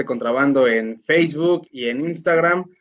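This is a man with a normal speaking voice. His pitch is fairly high with ordinary pitch variation. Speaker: internet radio host. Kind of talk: casual interview. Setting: online live stream.

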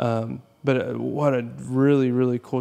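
Medium pitch and moderate pace from a man. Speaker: podcast host. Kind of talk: casual interview chat.

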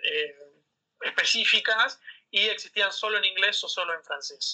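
A man in a Rioplatense accent speaks at a fairly slow pace. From Argentina, Buenos Aires suburbs (San Isidro). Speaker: business school student. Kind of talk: interview. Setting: remote call.

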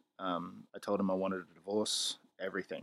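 Someone speaks at a fairly slow pace with an Australian accent. The recording is very clean, with a silent background. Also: man. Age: 20s. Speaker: podcast host. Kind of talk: solo opinion podcast. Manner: casual, opinionated.

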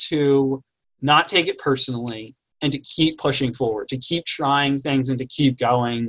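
A man speaks in an ordinary speaking voice, pitched fairly high. His intonation is fairly even and his pace fairly slow. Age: 30s. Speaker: university residence life staff and podcast co-host. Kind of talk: casual chat.

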